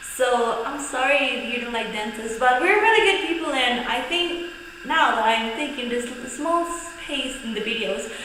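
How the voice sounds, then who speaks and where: A woman projects a raised voice at a moderate pace, with audible room echo and noticeable background noise. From Mexico. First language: Spanish. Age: 20s. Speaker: vlogger and dentistry student. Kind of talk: casual vlog talk. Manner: hesitant, searching for words.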